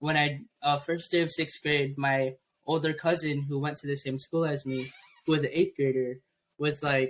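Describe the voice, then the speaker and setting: A man speaks at a moderate pace in a fairly high pitch. His intonation stays monotone and flat. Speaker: podcast co-host. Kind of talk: casual chat.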